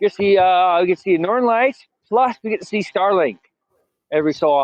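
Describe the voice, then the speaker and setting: A man's high voice with an Eastern Canadian accent, lively intonation and a fairly quick pace. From British Columbia, Canada. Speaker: carnival worker. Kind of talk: casual chat. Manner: halting.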